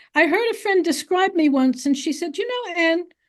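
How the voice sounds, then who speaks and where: With an English accent, a woman speaks at an extremely high pitch. Her pitch swings very widely. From US. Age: 80s+. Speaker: author. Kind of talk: interview conversation.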